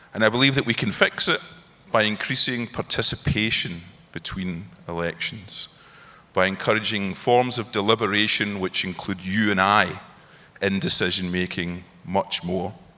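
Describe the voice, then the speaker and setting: A man speaks in a Glaswegian accent at a moderate pace. His pitch is fairly low and his tone bright and sharp, with fairly even intonation. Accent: Glaswegian brogue. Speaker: parliamentary scholar. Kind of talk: panel discussion.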